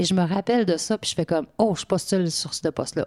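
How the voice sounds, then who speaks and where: A woman with an unremarkable speaking voice and ordinary pitch variation is heard in a very clean, dry, close recording with no echo and a silent background. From Quebec, Côte-Nord. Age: 50s. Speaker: municipal director. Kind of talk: interview.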